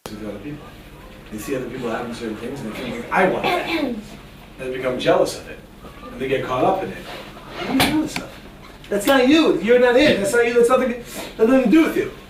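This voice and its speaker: A man with an American accent, high in pitch, animated in tone, at a very fast pace with very wide pitch swings and long, frequent pauses, over noticeable background noise. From New York. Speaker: rabbi, Torah teacher. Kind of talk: lecture to a live class. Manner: animated, humorous.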